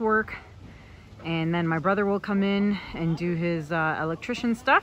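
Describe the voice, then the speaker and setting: The delivery moves at a moderate pace, the sound dry with no echo and light background noise behind it. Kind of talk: casual vlog chat. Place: street. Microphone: phone near.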